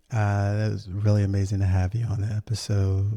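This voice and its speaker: On a very clean recording with a silent background, a man with an American accent speaks at a fairly slow pace, his fairly low voice dark, mellow and somewhat breathy. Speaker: podcast host. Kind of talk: casual podcast narration. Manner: many fillers and restarts.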